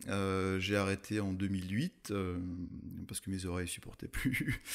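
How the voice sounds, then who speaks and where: A man with a fairly low voice speaks at a fairly slow pace. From France, Alsace (Munster valley). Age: 30s. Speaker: mountain photographer. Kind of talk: podcast interview. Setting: in person recording in Alsace. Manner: hesitant, many fillers.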